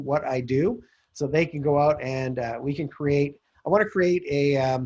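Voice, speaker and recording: Somewhat breathy and fairly high-pitched, a man speaks with fairly even intonation. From Calgary, Canada. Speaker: real estate investor. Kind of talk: interview pitch. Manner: fast.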